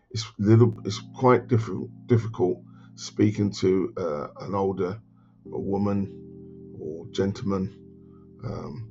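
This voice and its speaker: Music plays behind a man whose very deep, low voice carries lively intonation. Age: 60s. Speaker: financial adviser. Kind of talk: casual talk to camera. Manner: hesitant, conversational.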